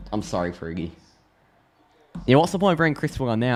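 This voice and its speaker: The speaker is a man. His accent is Australian. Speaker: football live reaction streamer. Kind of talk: live match reaction. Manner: animated.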